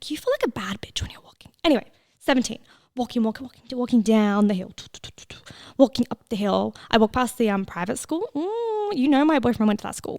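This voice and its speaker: Lively in intonation and animated in tone, a woman with an Australian accent and a high pitch talks at a fairly quick pace with big swings in loudness, in a dry, close sound with no echo. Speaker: podcast host. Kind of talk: casual podcast monologue.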